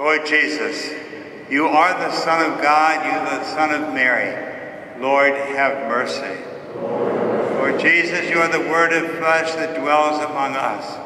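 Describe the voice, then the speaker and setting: Loud background noise fills the recording. A man talks at a very slow pace. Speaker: priest. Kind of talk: liturgical prayer. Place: church. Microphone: camera far.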